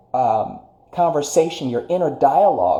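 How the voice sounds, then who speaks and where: A man with lively intonation at a moderate pace, amid noticeable background noise and audible room echo. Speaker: spiritual life coach. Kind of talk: livestream motivational talk. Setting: live stream.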